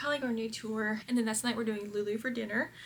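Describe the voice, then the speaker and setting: This woman has a Southern US accent. Her pitch is fairly high. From Kentucky, US South. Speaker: lifestyle vlogger. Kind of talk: casual vlog chat. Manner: animated.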